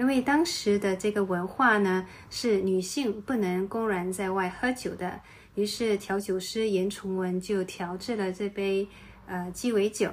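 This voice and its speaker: Moving at a fairly slow pace, a woman speaks in an unremarkable speaking voice of medium pitch with fairly even intonation. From Singapore. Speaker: podcast host. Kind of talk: travel podcast narration.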